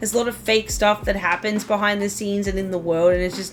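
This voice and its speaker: A woman talks over noticeable background noise. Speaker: gaming youtuber. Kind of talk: casual vlog review. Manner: loud; animated.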